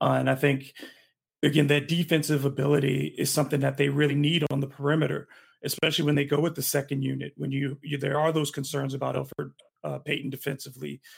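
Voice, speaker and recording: The speaker talks very fast in an American accent. The delivery is monotone and flat, with vocal fry. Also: man, fairly high pitch for a man. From Michigan. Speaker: sports writer. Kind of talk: casual chat.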